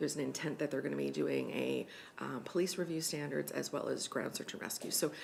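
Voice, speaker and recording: Very fast speech from a woman, with audible room echo. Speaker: regional emergency management coordinator. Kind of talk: staff report to council. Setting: council meeting. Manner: many filler ums.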